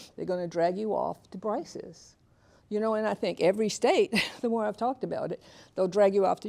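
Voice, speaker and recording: With an Alabama accent, the speaker talks at a fairly quick pace. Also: woman. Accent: Southern US (Alabama). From US South, Tuskegee, Alabama. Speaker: author and keynote speaker. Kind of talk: lecture.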